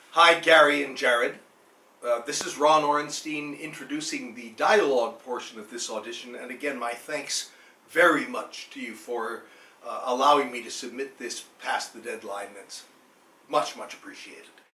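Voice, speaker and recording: The room echo is clearly audible, and the loudness swings a lot. The pace is moderate. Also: man, ordinary pitch variation. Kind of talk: theatrical dialogue reading. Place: home room. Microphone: camera far.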